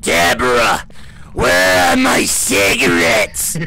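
A man puts on a character voice at a fairly low pitch and a fairly slow pace. Background noise is clearly heard. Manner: put-on smoker voice.

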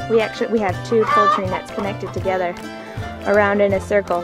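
A woman talks at a fairly quick pace over clear background music, the sound dry with no echo. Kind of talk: casual tour narration. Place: farm machine. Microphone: phone near.

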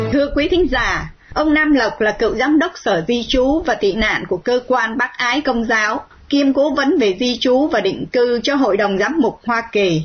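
A woman's high-pitched voice with lively intonation and very even loudness, at a fairly slow pace with hardly any pauses, over noticeable background noise. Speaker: radio host. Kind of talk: scripted narration.

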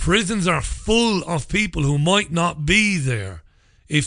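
Against a quiet background, a man speaks fairly slowly, his pitch swinging very widely. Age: 40s. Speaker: radio host. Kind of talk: angry rant. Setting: studio. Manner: indignant, emphatic, sarcastic. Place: studio.

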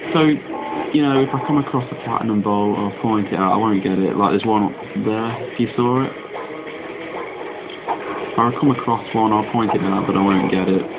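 Music plays in the background as a man talks at a fairly quick pace with ordinary pitch variation. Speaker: gamer. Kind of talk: game commentary.

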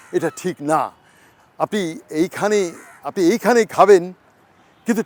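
A high-pitched male voice with ordinary pitch variation, in a dry, close sound with no echo. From Bangladesh, Hatiya island and Chittagong. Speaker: travel vlogger. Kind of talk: interview. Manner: halting.

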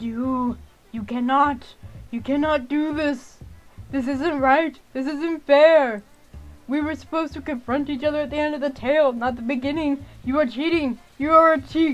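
Faint music plays in the background as a high, put-on character voice goes along at a moderate pace. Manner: outraged, desperate.

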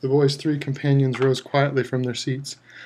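A natural reading voice is heard in this clip.

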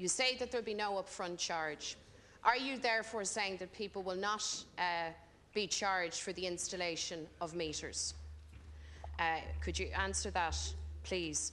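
With long, frequent pauses, a woman talks at a moderate pace in a fairly low, bright, sharp voice with ordinary pitch variation over light background noise. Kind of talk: parliamentary questioning. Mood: pointed, critical. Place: hall. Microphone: podium.

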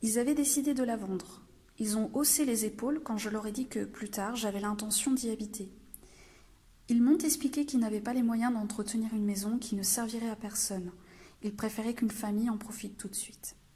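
This voice has a dark, mellow tone and is somewhat breathy. It moves at a fairly quick pace with fairly even intonation. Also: woman, fairly high pitch for a woman. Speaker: library storyteller. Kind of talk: children's story reading.

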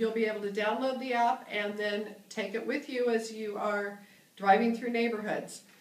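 A woman is speaking. Room echo can be heard. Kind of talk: tutorial. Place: meeting room. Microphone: camera far.

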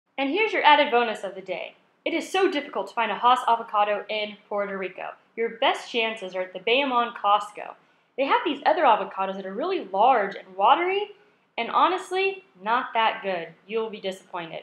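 A fairly high-pitched woman with an American accent, talking at a fairly quick pace with very wide pitch swings and big swings in loudness, amid audible room echo. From California. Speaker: travel vlogger. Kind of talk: vlog narration. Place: shop. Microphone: phone near.

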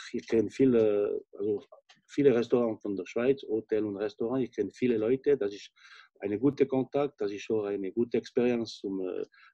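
A man with a French accent speaks at a moderate pace in a dark, mellow tone with ordinary pitch variation, recorded with a dry sound with no echo and a quiet background. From French-speaking Switzerland. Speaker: chef, restaurant owner. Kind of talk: interview answer. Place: home room. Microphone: video call.

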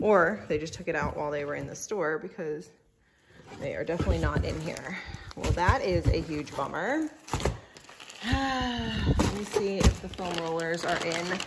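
A woman talks at a moderate pace with long, frequent pauses. Loud background noise runs underneath. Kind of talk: casual vlog chat. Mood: disappointed at missing rollers. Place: home room. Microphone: phone near.

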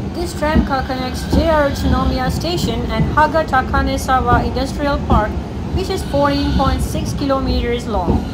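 Loud background noise runs under a woman speaking at a moderate pace. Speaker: travel vlogger. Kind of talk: casual vlog chat. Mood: cheerful, curious. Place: street. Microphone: phone near.

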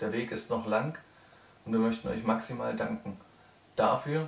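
Vocal fry runs through fairly even intonation, with audible room echo. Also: man.

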